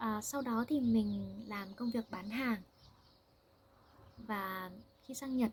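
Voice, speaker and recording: A woman's fairly high voice at a very slow pace, broken by long, frequent pauses. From Vietnam. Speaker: language teacher. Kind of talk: language-learning monologue. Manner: slow and clear, with fillers.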